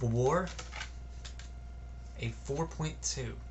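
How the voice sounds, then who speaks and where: Room echo is audible as a man talks at a very slow pace. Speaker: music reviewer. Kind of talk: casual album review vlog. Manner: halting, stuttering.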